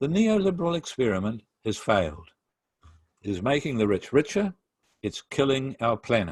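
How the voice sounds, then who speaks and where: A man with a New Zealand accent speaks at a moderate pace and medium pitch, using very wide pitch swings. Long, frequent pauses break up the dry, close sound with no echo. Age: 60s. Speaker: pastor. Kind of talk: lecture. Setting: video call. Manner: formal.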